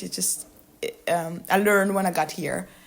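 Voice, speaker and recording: A woman speaks with a Burundian accent. Her pitch is medium. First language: Kirundi. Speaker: author. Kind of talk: interview. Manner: halting, many hesitations and repetitions.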